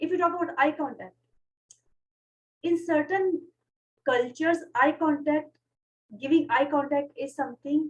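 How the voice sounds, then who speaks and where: A woman speaks with a Pashto accent in a high voice, her pitch varying in an ordinary way. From Pakistan. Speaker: podcast host. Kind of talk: casual chat. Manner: fast.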